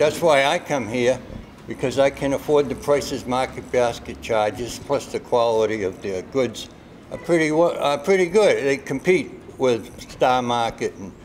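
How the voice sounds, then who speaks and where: A man with a Boston accent speaks at a fairly slow pace, his intonation lively. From Somerville, Massachusetts. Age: 70s. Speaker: shopper interviewed. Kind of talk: street interview.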